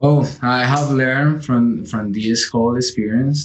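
Speaking with a Colombian accent, a man uses a medium pitch and ordinary pitch variation. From Colombia, Santander. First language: Spanish. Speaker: physician applying for residency. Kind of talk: interview. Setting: video call. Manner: halting.

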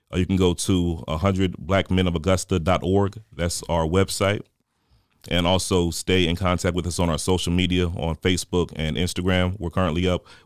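Very deep and low, a man speaks in a monotone with an American accent. His pace is moderate, and the recording is very clean with a silent background. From Newport News, Virginia. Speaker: nonprofit PR volunteer, military veteran. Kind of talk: interview. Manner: many filler uh's.

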